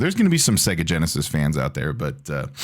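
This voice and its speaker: Very fast, a man talks with very wide pitch swings over noticeable background noise. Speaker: gaming YouTuber. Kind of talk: video rant. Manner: animated.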